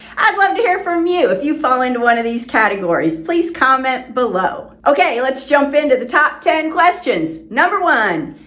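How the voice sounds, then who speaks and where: Audible room echo surrounds a woman talking at a moderate pace with very wide pitch swings. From South Florida. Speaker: real estate agent. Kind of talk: informational presentation to camera.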